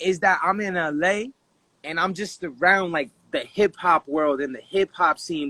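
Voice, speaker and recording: The tone is bright and sharp, with an American accent, ordinary pitch variation and a moderate pace, and the sound is dry and close with no echo. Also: man. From Dominican heritage, US. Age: 20s. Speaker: rapper. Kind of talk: casual interview.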